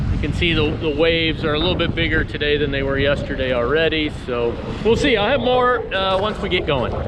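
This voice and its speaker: With noticeable background noise and audible room echo, a man talks at a fairly quick pace in a fairly high voice with lively intonation. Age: 60s. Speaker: sailing vlogger. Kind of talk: casual vlog narration. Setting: outdoors on a sailboat. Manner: halting, many fillers.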